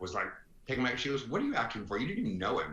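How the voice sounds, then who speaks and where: A man with a bright, sharp tone is heard with audible room echo. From US South (Florence, Alabama). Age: 60s. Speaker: retired advertising executive. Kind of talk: podcast interview. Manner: animated.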